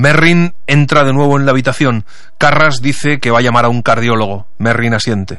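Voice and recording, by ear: A man at medium pitch and moderate pace, with a fairly bright tone and fairly even intonation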